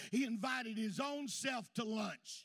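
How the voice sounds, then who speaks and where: Loud and speaking with a Southern US accent, a man uses an extremely high pitch with ordinary pitch variation. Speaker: pastor. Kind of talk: sermon. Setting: church. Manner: folksy, reminiscing storyteller punctuated by hallelujahs; exuberant, loud praise, hollers for Jesus.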